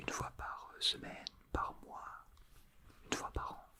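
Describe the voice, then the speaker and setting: A man whispering amid noticeable background noise. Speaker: ASMR artist. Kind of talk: ASMR role play. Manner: whispered.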